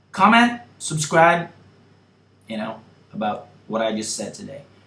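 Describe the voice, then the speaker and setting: A man's pitch swings very widely, with audible room echo around his voice. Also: fairly high pitch for a man. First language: not English. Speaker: YouTuber. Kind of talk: opinion vlog monologue. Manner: casual, filler-heavy.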